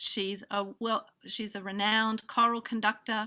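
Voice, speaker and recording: With an Australian accent, a woman speaks at a fairly slow pace in a fairly high pitch and a bright, sharp tone. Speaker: music program director, event organizer. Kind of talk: conference welcome address. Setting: video call. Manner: hesitant, many fillers.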